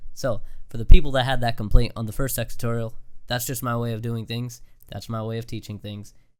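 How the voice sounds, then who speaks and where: A man talks at a fairly quick pace in a medium pitch. His intonation is monotone and flat, while his loudness swings a lot. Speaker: YouTube tutorial creator. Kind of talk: software tutorial. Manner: fast; casual, filler-heavy.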